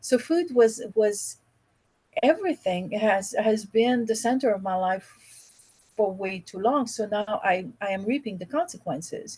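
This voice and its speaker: A woman's fairly high, somewhat breathy voice with a dark, mellow tone, in a Quebec accent, with lively intonation at a fairly slow pace. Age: 50s. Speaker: podcast guest, real estate investor. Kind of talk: casual chat.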